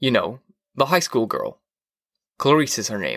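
A man puts on a character voice with a fairly bright tone and big pitch swings, at a fairly slow pace. The recording is very clean, the background silent. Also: medium pitch for a man.

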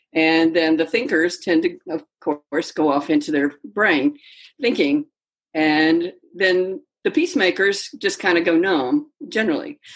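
A woman's plain, everyday voice, fairly low in pitch, with an American accent, lively intonation, very even loudness and a fairly slow pace. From Mississippi, US South. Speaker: yoga teacher and coach. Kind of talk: casual interview.

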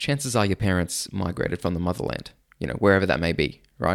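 On a very clean recording with a silent background, a man talks at a very fast pace with an Australian accent. His tone is animated, with ordinary pitch variation. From Sydney, Australia. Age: 30s. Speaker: podcast host. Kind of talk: casual monologue. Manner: animated, laughs often.

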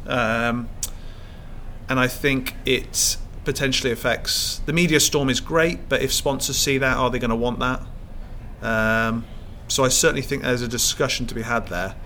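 A man with a southern English accent speaks at a moderate pace in a medium pitch, his tone bright and sharp and his intonation fairly even. He leaves long, frequent pauses, and audible room echo surrounds him. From England, Cheltenham. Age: 30s. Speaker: professional squash player. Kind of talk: casual interview chat.

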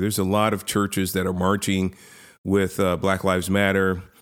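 In a very clean recording with a silent background, a man with an American accent talks at a fairly quick pace in a normal speaking voice with a fairly low pitch. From San Francisco, US. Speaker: activist, foundation chairman. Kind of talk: interview. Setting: studio. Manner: many filler words.

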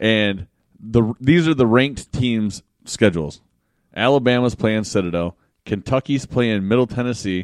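A man with an American accent has an unremarkable speaking voice at a medium pitch. He keeps a moderate pace and ordinary pitch variation, with a dry, close sound and no echo. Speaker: podcast co-host. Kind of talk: casual banter. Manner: profane, joking.

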